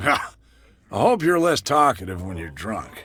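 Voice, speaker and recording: In a raspy put-on character voice, a man with a fairly high pitch speaks at a moderate pace with very wide pitch swings. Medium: video game. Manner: curt, mocking.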